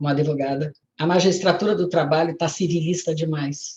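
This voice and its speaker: A woman speaks at a fairly low pitch, somewhat breathy. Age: 70s. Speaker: retired labour judge and lawyer. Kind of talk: lecture. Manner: halting.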